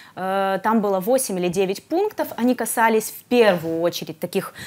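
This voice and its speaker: A woman's voice at a moderate pace, with big swings in loudness. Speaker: guest. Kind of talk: interview answer. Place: studio.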